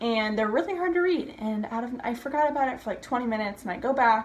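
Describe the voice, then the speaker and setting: A woman talks at a very fast clip with lively, bouncing intonation. Light background noise sits under her voice. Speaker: vlogger. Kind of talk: casual vlog chat. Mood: excited, chatty. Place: home room. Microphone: phone near.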